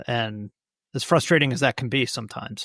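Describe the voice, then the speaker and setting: A man with an American accent and medium pitch is heard on a very clean recording, silent in the background, with a dry, close sound and no echo. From United States. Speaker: watch journalist and podcast host. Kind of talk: podcast interview answer.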